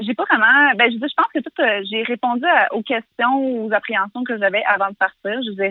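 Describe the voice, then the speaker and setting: A normal speaking voice from a woman, fairly high with ordinary pitch variation, fairly quick with hardly any pauses. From Quebec, Canada. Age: 20s. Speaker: interviewee living abroad. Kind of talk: casual conversation. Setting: phone call.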